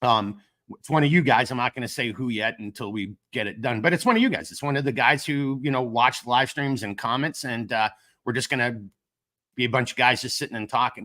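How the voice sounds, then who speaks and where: A man with a Minnesotan accent, a medium pitch, ordinary pitch variation, a bright, sharp tone, a fairly quick pace and big swings in loudness, in a very clean recording with a silent background. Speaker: gear company owner, livestream host. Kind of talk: casual live stream chat. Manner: casual, filler-heavy.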